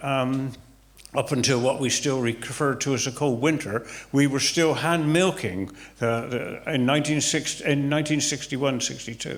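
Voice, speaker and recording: In a West Country accent, a man speaks at a moderate pace and very even loudness, with a fairly high pitch and ordinary pitch variation. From Somerset, England. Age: 70s. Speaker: retired farmer. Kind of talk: interview answer. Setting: village hall, live audience.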